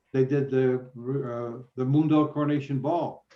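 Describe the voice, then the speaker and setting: Monotone and flat, a man talks at a fairly high pitch. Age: 80s+. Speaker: radio personality. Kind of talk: interview Q&A on live video call. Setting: video call. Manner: halting, many fillers.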